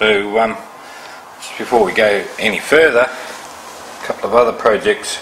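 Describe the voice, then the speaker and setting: A man with a medium-pitched voice talks at a fairly slow pace with ordinary pitch variation and big swings in loudness, over noticeable background noise. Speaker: electronics hobbyist. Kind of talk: tutorial. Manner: hesitant, many fillers.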